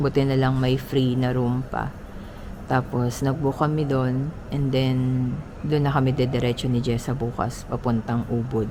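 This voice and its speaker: A woman speaks quietly in a very deep, low voice with monotone, flat intonation, at a fairly slow pace and very even loudness. Room echo and noticeable background noise can be heard. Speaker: travel vlogger. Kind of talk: vlog monologue. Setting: indoors, early morning. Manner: halting.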